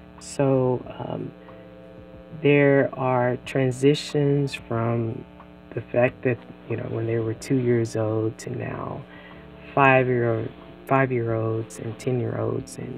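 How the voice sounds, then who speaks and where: Very slowly and with long, frequent pauses, a woman talks in a very deep, low voice with flat, monotone intonation over noticeable background noise. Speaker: podcast host; parent. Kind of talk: casual podcast intro talk.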